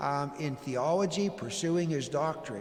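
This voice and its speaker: Lively in intonation and moderate in pace, a man speaks amid audible room echo and noticeable background noise. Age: 60s. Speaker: pastor. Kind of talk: town hall presentation. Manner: halting, many fillers.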